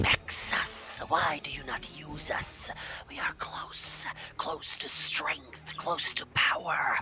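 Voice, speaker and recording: A whispered, put-on character voice at a very slow pace. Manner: tempting, coaxing.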